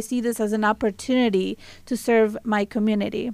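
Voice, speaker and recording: A Spanish accent in a very clean recording with a silent background. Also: woman. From Mexico. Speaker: college trustee. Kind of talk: radio interview, casual chat. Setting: radio studio.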